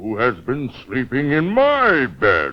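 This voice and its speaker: Doing a put-on character voice, a man bellows in a gruff, fairly high pitch at a very slow pace. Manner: roaring, gruff.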